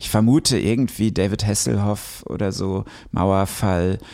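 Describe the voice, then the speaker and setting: On a very clean recording with a silent background, a man talks with a very deep, low pitch and a dark, mellow tone. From western Germany (Ruhr area, Recklinghausen). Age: 30s. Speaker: novelist and musician. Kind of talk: casual chat.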